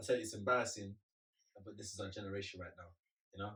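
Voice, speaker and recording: Speaking at a very fast pace, a man has a fairly low pitch. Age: young. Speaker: podcast co-host. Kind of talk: casual chat. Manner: animated.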